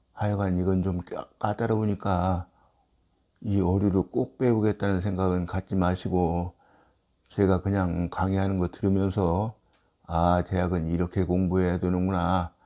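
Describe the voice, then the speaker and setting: A man with a very deep, low pitch and a dark, mellow tone speaks fairly slowly in a monotone, flat intonation. The recording is very clean, with a silent background. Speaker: classical Chinese text lecturer. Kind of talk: lecture. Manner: slow and careful today.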